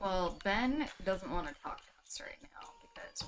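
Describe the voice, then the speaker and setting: The voice swings through very wide pitch changes while music plays underneath. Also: woman. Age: 30s. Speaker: streamer's partner. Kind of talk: casual chat.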